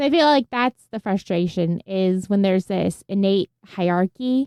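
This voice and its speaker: The voice has a dark, mellow tone and ordinary pitch variation at a moderate pace. The sound is dry and close with no echo. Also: woman. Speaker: podcast co-host. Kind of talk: casual chat.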